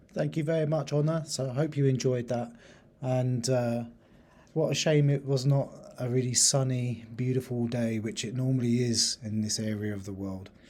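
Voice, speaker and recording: Audible room echo colors a man's dark, mellow voice at medium pitch. He keeps a moderate pace with ordinary pitch variation. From England, Lincolnshire. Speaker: university teacher. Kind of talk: lecture presentation.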